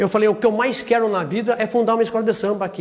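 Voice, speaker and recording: Noticeable noise sits behind this man's voice. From Porto Feliz, São Paulo state, Brazil. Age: 60s. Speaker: samba school founder. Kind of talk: interview testimony.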